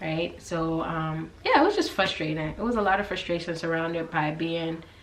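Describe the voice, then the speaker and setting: Audible room echo and noticeable background noise surround a woman with an American accent and a fairly low pitch. She keeps a moderate pace and fairly even intonation. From US South, Georgia. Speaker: YouTuber, guest. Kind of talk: casual chat.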